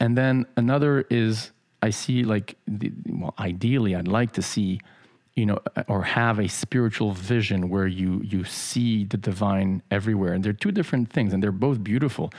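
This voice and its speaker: A man with an American accent talks in a normal speaking voice at a fairly low pitch. His pace is moderate, his pitch variation ordinary and his loudness very even. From grew up in Paris, Mexico City, Los Angeles, New York. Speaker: podcast co-host on spirituality. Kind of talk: casual spiritual discussion.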